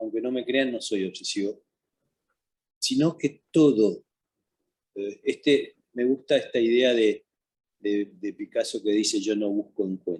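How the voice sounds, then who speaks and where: In a dry, close sound with no echo, a man talks at a fairly slow pace with long, frequent pauses. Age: 60s. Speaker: painter. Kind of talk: interview. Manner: halting, many repetitions.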